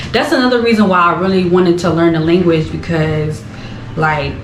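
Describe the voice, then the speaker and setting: A woman with an American accent and a fairly low pitch speaks at a fairly quick pace with ordinary pitch variation, amid noticeable background noise and audible room echo. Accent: American accent noticed by Ghanaians. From US, Philadelphia. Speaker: vlogger. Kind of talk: casual chat. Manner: animated.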